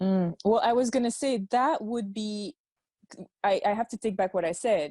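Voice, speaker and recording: A woman speaks with a French accent at a moderate pace, in a fairly high pitch with ordinary pitch variation and a dark, mellow tone. The sound is dry and close, with no echo. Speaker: podcast host. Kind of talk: interview conversation.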